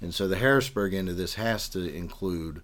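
The room echo is audible. A man with a western Pennsylvania accent speaks in a very deep, low pitch. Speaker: political candidate. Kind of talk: interview.

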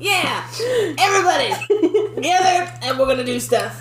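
Someone uses a put-on character voice at a moderate pace with clear background noise. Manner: cocky, rallying a crowd.

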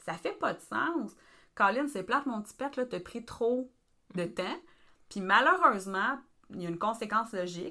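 Very wide pitch swings mark this fairly slow speaker with a Quebec accent, heard on a very clean recording with a silent background. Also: woman. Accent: Québécois French. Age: 30s. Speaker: family support worker. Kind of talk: casual podcast discussion.

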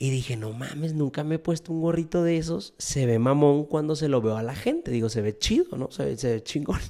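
Talking at a fairly quick pace with hardly any pauses, a man with a fairly high pitch, ordinary pitch variation and a dark, mellow tone comes through on a very clean recording with a silent background. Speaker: podcaster. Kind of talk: casual livestream monologue. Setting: Instagram live stream. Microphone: studio microphone.

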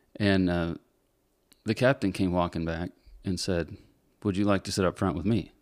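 A man with a very deep, low pitch talks at a moderate pace, leaving long, frequent pauses. His intonation is fairly even, and the recording is very clean with a silent background. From Northern Michigan. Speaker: commercial airline pilot. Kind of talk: casual chat.

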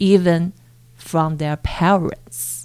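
A woman with a Mandarin accent, a fairly low pitch and ordinary pitch variation. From China (Chongqing). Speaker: PhD researcher in education. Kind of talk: interview.

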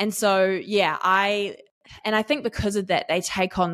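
With a New Zealand accent, a woman talks at a moderate pace and medium pitch, the sound dry and close with no echo in a very clean recording with a silent background. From New Zealand, East Auckland. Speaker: business community manager. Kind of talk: interview.

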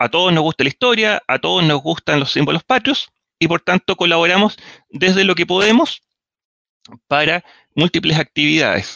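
With a Chilean accent, a man speaks at a moderate pace and a high pitch, with ordinary pitch variation. His loudness stays very even, broken by long, frequent pauses. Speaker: engineer and history enthusiast. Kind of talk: casual chat.

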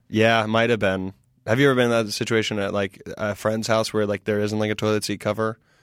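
Against a silent background in a very clean recording, a man with an American accent speaks very fast at a fairly low pitch with monotone, flat intonation. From US South (South Carolina). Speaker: comedian. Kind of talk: casual chat.

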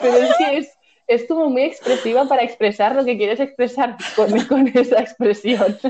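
Her loudness stays very even as a woman speaks in a high pitch. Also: ordinary pitch variation, moderate pace. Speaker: podcast co-host. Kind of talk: casual chat.

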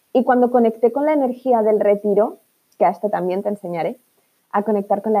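A woman with a fairly high pitch and a dark, mellow tone speaks in a dry, close sound with no echo. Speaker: business coach. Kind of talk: motivational monologue. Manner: animated; repetitive fillers.

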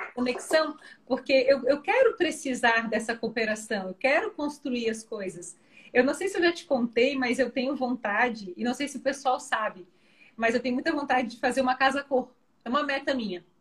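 With ordinary pitch variation and a moderate pace, a woman speaks at a high pitch. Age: 30s. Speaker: parenting educator. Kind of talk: casual interview on a live stream. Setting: online live video call.

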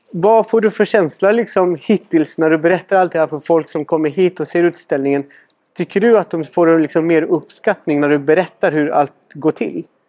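Pitched high, a man talks at a moderate pace, and his pitch varies in an ordinary way. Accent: Spanish. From Chile. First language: Spanish (speaking Swedish). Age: 30s. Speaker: podcast host and cabinetmaker. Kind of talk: casual interview.

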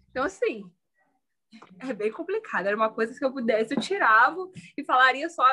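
A woman's raised, projected voice, high in pitch, with lively intonation and a bright, sharp tone. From Brazil, Petrópolis (Rio de Janeiro state). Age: 20s. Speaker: law student and mother. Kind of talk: casual chat.

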